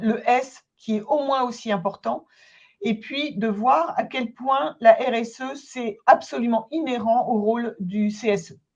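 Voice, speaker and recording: This woman has a plain, everyday voice, pitched fairly high, with lively intonation. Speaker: consultant and trainer. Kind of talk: webinar presentation. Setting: online webinar.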